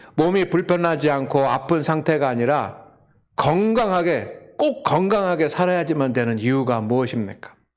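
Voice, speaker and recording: In a normal speaking voice, a man talks at a moderate pace and a fairly high pitch, his intonation lively and his loudness very even. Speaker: pastor. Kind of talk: sermon. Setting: church with congregation.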